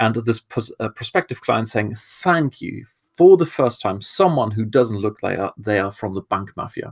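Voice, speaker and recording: A man talks at a moderate pace with a German accent. The recording is very clean with a silent background and a dry, close sound with no echo. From Germany. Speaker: marketing podcast host. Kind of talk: solo podcast talk.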